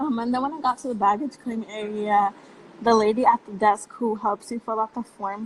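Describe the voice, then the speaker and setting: Fairly high-pitched woman with a Spanish accent, fairly quick pace, fairly even intonation and noticeable background noise. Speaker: youth activist. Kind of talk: casual chat.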